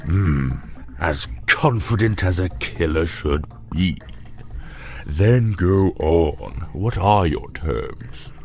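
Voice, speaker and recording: Putting on a character voice, a man speaks very slowly in a very deep, low pitch with long, frequent pauses while clear music plays in the background. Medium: audio drama. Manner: haughty, formal.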